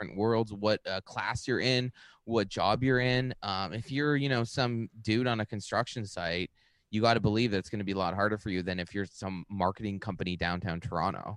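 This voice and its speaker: A man talks in a normal speaking voice, fairly low in pitch and at a fairly quick pace. The sound is dry and close, with no echo. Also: ordinary pitch variation, quiet background. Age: 30s. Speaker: stand-up comedian and author. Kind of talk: casual interview chat.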